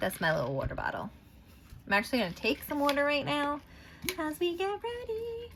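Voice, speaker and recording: Her voice is high for a woman, swinging very widely in pitch at a fairly quick pace. She pauses long and often, with noticeable background noise. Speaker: tarot and oracle card reader. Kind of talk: casual card reading tutorial. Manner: mumbling; rambling, filler-heavy.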